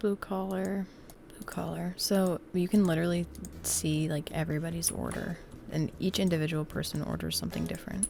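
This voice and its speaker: Long, frequent pauses break up speech at a moderate pace. Noticeable background noise is present. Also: woman. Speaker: gaming YouTuber. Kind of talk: gameplay commentary. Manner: casual, rambling with fillers.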